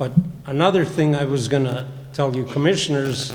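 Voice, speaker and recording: A man with an Upper Midwest accent speaks at a fairly high pitch with fairly even intonation. Audible room echo and noticeable background noise fill the recording. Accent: Upper Midwest (Minnesota). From Minnesota (St. Joseph area). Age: old. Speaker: public commenter. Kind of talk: public comment. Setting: county board meeting. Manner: casual.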